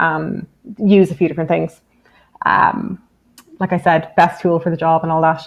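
Using long, frequent pauses, a woman with a fairly low pitch speaks at a moderate pace with fairly even intonation. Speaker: software engineer presenting a database; guest. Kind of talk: technical webinar talk with live demo. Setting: video call webinar. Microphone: webcam.

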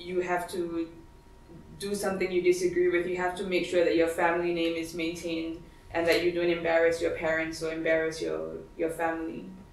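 A woman's fairly low voice in monotone, flat intonation at a moderate pace, with audible room echo and light background noise. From Singapore. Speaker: feminist writer and activist, lecturer; lecturer. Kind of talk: lecture. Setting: library event with audience. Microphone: camera far.

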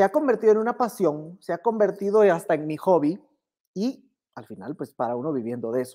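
Against a quiet background, a man with a dark, mellow tone and a high pitch speaks at a fairly quick pace, with very wide pitch swings and big swings in loudness. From Guatemala. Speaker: business instructor. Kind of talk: online workshop lecture. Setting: livestream. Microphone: earbuds.

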